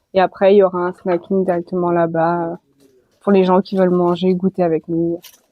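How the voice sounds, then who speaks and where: The voice belongs to a woman. She keeps a moderate tempo, and her intonation stays flat and monotone. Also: fairly low pitch for a woman. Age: 20s. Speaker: association president. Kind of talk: interview. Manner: hesitant, many fillers.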